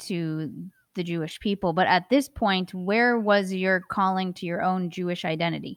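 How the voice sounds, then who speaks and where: A woman's unremarkable speaking voice at medium pitch and moderate pace on a very clean recording with a silent background. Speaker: podcast co-host. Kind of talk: interview, casual conversation.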